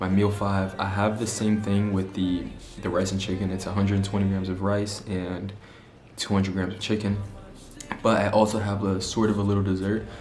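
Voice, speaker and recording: Music plays in the background as a man speaks at a fairly low pitch in a flat monotone. His pace is fairly quick, and audible room echo surrounds the voice. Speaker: fitness vlogger. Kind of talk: casual vlog talk to camera. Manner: stutters at times.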